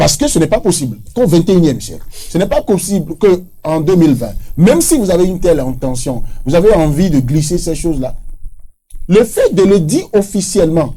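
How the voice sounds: A man speaks at a fairly quick pace with a dark, mellow tone. His pitch is fairly high and takes big swings.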